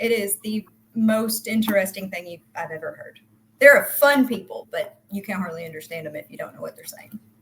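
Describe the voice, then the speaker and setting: Her loudness swinging widely, a woman with a Southern US accent speaks fairly quickly at a fairly high pitch, with ordinary pitch variation. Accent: American country. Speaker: crypto project team member. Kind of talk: casual interview. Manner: fast.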